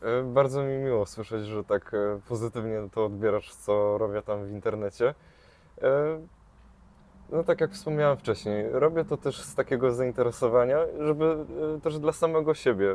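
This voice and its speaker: Pitched at medium for a man, his speech keeps a moderate pace. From Kashubia, northern Poland. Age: 20s. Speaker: travel social media creator. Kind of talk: casual interview. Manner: hesitant, many filler sounds.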